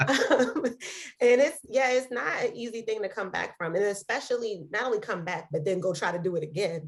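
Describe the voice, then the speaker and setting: A woman speaks with a fairly high pitch and lively intonation at a moderate pace. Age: 30s. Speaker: podcast co-host. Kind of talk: casual interview. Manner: hesitant, many fillers.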